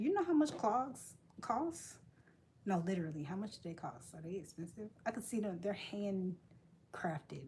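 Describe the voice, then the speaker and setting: This woman speaks with an American accent. Her voice is somewhat breathy. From United States. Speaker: crochet live streamer. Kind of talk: casual chat with live chat readers.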